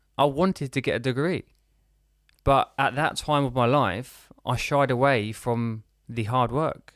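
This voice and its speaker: With a British accent, this man talks at a medium pitch with ordinary pitch variation. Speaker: business and lifestyle coach. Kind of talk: podcast interview. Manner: halting, repeats words.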